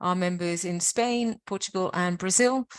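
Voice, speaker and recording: A woman with a British accent at a moderate pace and medium pitch, ordinary pitch variation, dry and close with no echo. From Britain. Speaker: webinar presenter for science and technology parks network. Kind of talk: webinar presentation. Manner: halting, with fillers.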